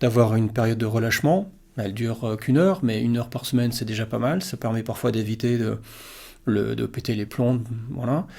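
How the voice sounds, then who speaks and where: Over a silent background in a very clean recording, a man speaks at medium pitch with a dark, mellow tone. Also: ordinary pitch variation, fairly quick pace. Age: 60s. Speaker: yoga teacher. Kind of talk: casual talk-to-camera Q&A. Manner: hesitant, many fillers.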